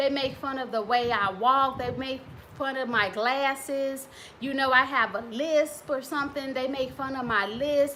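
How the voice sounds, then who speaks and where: Against noticeable background noise and audible room echo, a woman speaks fairly slowly in a high pitch. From US Midwest. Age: 40s. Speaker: relationship coach and author. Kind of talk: casual talk to camera. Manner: conversational.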